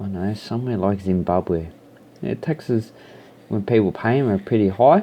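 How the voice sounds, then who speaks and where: With an Australian accent, a man speaks at a moderate pace in a fairly low voice. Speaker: YouTuber. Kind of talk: casual vlog monologue. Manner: rambling, with hesitations.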